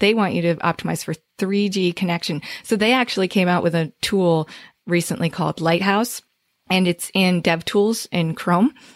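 A woman with an American accent speaks at a moderate pace in a medium pitch, with ordinary pitch variation and very even loudness. The sound is dry and close with no echo, on a very clean recording with a silent background. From northern New Jersey. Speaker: SEO agency owner. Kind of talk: interview.

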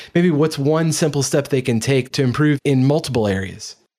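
This man has an ordinary speaking voice, medium in pitch, and speaks at a moderate pace. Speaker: podcast host. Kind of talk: interview.

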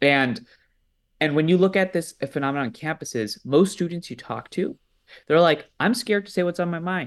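A man with a normal speaking voice and an American accent talks at a moderate pace, his fairly high pitch showing ordinary variation. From US East Coast. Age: 20s. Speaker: nonprofit leader, student movement organizer. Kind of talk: interview.

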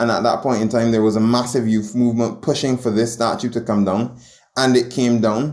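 A man with a Barbadian accent speaks in a monotone with flat intonation. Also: medium pitch for a man, fairly quick pace. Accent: Barbadian (Bajan) English. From Barbados. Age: 20s. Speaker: journalist. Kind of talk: interview.

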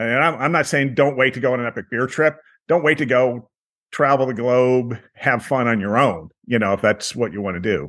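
Over a quiet background, a man with an unremarkable speaking voice talks at a moderate pace, medium in pitch with ordinary pitch variation. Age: 60s. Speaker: tour business owner. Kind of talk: interview.

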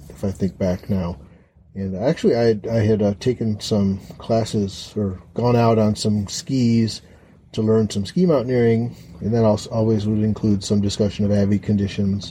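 A man's fairly low, dark, mellow voice in an American accent, somewhat breathy, with fairly even intonation. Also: moderate pace. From Chicago. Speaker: co-host, host's husband. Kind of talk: casual chat. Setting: hayloft. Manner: halting.

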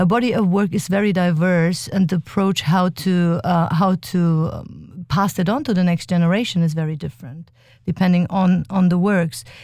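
A woman with a German accent, a dark, mellow tone and fairly low pitch, at a moderate pace with ordinary pitch variation, on a very clean recording over a silent background. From Germany. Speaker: dance company artistic director. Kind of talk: interview. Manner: halting.

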